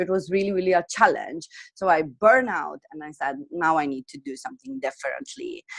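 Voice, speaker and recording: A woman at a fairly quick pace, medium pitch with very wide swings, and big shifts in loudness. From Slovenia. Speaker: wellness and business coach. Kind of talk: interview. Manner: halting.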